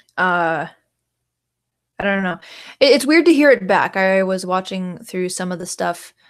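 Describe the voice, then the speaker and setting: A woman with an American accent speaks at a medium pitch and moderate pace, using lively intonation, big swings in loudness, and long, frequent pauses, in a very clean recording with a silent background. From Canada. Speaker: livestreamer. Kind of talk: casual livestream chat. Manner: halting, many fillers.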